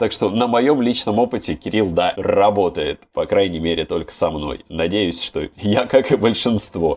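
A man has an ordinary speaking voice with a fairly low pitch. He talks at a fairly slow pace with hardly any pauses. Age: 20s. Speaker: podcast host. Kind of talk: casual chat.

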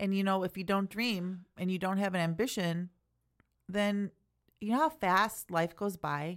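A woman speaks at a medium pitch with ordinary pitch variation, on a very clean recording with a silent background. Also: fairly slow pace. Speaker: church podcast co-host. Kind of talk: casual chat, podcast discussion. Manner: animated, sassy.

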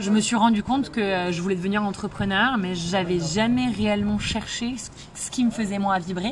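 Noticeable background noise runs through the clip. The delivery has fairly even intonation and a moderate pace. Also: woman, medium pitch for a woman. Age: 30s. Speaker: entrepreneur, former lawyer. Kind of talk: interview. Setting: in person.

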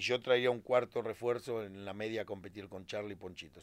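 A man speaks at a fairly quick pace with fairly even intonation. He has an ordinary speaking voice. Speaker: retired footballer. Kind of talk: casual interview chat.

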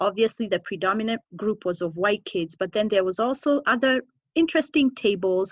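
This woman talks at a fairly quick pace with an American accent. Her pitch is medium and her intonation lively. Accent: slight American twang over Kenyan. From Kenya. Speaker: podcast host. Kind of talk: casual interview chat.

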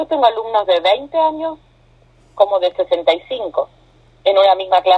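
The speech has an Argentine accent and a fairly slow pace. Long, frequent pauses break it up. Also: woman. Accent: Argentine Spanish (Rioplatense). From Argentina. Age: 40s. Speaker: yoga teacher. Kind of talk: casual interview. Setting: phone call.

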